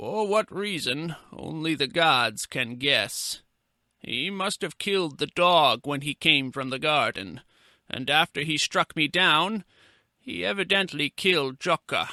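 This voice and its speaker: A man's put-on character voice, fairly high-pitched for a man, with lively intonation and a fairly slow pace, in a very clean recording with a silent background and a dry, close sound with no echo. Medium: read story. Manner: measured, formal.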